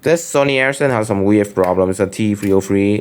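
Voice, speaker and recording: The speaker talks at a fairly quick pace with a Vietnamese accent. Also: man. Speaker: phone collector vlogger. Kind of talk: show-and-tell collection video. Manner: casual, hesitant with fillers.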